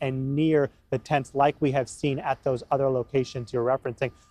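A man talks at a moderate pace over music in the background. The sound is dry, with no echo. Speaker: TV news field reporter. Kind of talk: live news report. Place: street. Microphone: handheld.

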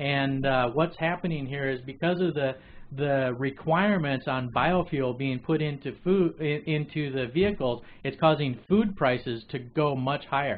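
Pitch varies in an ordinary way as the speaker moves at a fairly slow pace. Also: man. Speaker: webcast show host. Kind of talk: news commentary. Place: studio.

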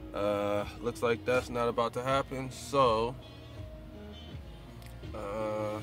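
A man's monotone, flat delivery over clear music in the background. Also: dry sound with no echo. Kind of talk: casual vlog chat. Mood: resigned, low-key. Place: car. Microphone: phone near.

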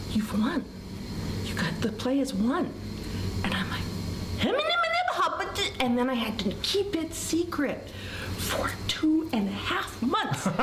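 A woman speaks at a very slow pace, with long, frequent pauses. Noticeable background noise runs under her voice. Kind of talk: interview answer. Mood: animated, amused storytelling. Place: hall. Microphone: camera far.

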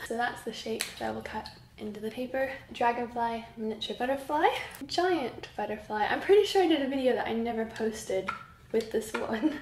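At a moderate pace, a woman speaks in a high voice with ordinary pitch variation, with audible room echo and light background noise. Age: 20s. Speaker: craft YouTuber. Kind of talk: casual vlog. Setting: home. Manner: animated. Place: home room. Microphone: camera far.

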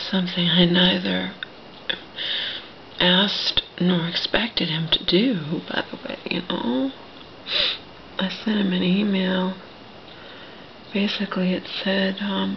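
With light background noise, a woman talks very slowly, leaving long, frequent pauses, and her pitch varies in an ordinary way. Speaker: vlogger. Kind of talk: casual vlog chat. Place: home room. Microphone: phone near.

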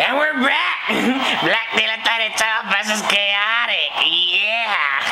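Loud background noise runs under a put-on character voice that moves at a very slow pace. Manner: energetic, hyped.

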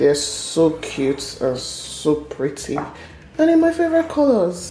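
Light background noise and audible room echo fill the clip. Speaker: home cook vlogger. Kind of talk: casual cooking vlog chat. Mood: cheerful, enthusiastic. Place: kitchen.

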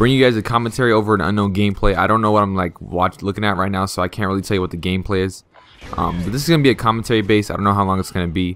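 Over noticeable background noise, a man speaks at a very fast pace with a fairly low pitch and ordinary pitch variation. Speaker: gaming YouTuber. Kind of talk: gameplay commentary vlog. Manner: casual, hesitant with many ums.

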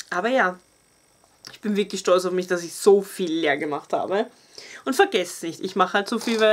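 A woman with an Austrian accent, animated in tone, at a moderate pace with ordinary pitch variation. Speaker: beauty YouTuber. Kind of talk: casual product review vlog. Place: home room. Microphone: camera far.

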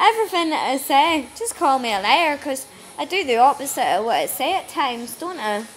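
Under light background noise, a woman with a Northern Irish accent talks at a fairly quick pace. Her voice is high, and its pitch swings very widely. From Northern Ireland. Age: 30s. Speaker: vlogger; holiday vlogger. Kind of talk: casual travel vlog; casual vlog chat. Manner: stumbling over words. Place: hall. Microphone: phone near.

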